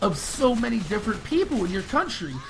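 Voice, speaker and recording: Speaking with an American accent, a man sounds animated and moves at a fairly quick pace. There is noticeable background noise. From United States. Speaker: gaming youtuber. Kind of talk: casual rant to camera. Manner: fast.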